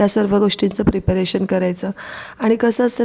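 A woman speaks at a medium pitch with fairly even intonation and a dark, mellow tone. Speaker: vlogger and schoolteacher. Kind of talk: vlog voice-over narration.

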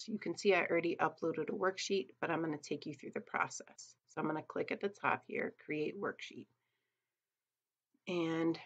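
A woman has a plain, everyday voice, fairly low in pitch with ordinary pitch variation. She speaks at a moderate pace against a quiet background. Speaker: teacher. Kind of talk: tutorial. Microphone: webcam.

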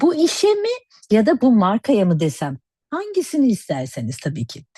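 This woman has a dark, mellow tone, a somewhat breathy quality, and very wide pitch swings. The sound is dry and close with no echo, over a quiet background. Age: 50s. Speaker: cosmetics educator and network marketer. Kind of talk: sales pitch.

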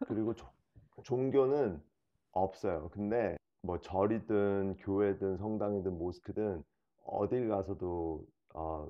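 A man with a Korean-American accent talks at a very slow pace, leaving long, frequent pauses. His fairly low voice shows ordinary pitch variation and big swings in loudness against a quiet background. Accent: fake Korean-American (gyopo) accent in Korean. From South Korea. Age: 40s. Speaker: reality show cast member; interviewee. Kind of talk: interview. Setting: at host's home. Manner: halting. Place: home room.

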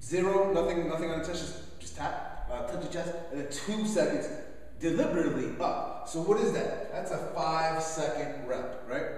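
A man at a moderate pace amid strong room echo. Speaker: fitness coach. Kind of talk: lecture. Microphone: camera far.

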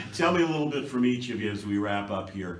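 A man at a medium pitch, lively in intonation and fairly slow, with audible room echo

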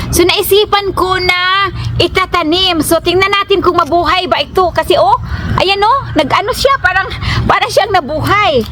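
Against noticeable background noise, a woman speaks in a raised, projected voice at an extremely high pitch. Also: ordinary pitch variation, moderate pace, very even loudness. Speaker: family vlogger. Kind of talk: casual vlog talk. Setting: outdoors in garden. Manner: chatty, laughing.

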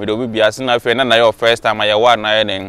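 A man is speaking. The sound is dry, with no echo. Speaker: vlogger. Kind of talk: casual vlog chat. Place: street. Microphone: lapel.

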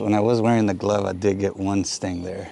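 At a moderate pace and with fairly even intonation, a man speaks in a dry sound with no echo. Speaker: hobby beekeeper vlogger. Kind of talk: casual vlog chat. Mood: pleased, relaxed. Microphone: phone near.

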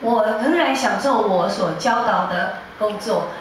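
A woman is speaking over light background noise. Strong room echo colors her voice. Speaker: music teacher. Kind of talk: church prayer and announcement. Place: church. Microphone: pa.

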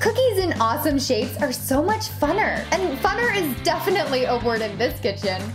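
A woman talks at a moderate pace with very wide pitch swings. Clear music plays in the background. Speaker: baking show host. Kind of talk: baking tutorial host reel. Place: kitchen.

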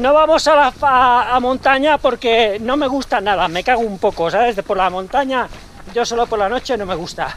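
Against light background noise, a man with an extremely high pitch talks at a moderate pace, his pitch varying in an ordinary way. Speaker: runner vlogger. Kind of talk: casual vlog chat. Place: street. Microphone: phone near.

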